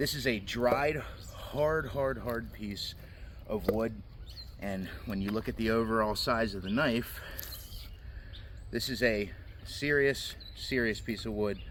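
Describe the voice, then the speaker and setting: A man talks at a fairly slow pace, leaving long, frequent pauses. Room echo is audible. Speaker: knife reviewer. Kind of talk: product review. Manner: loud.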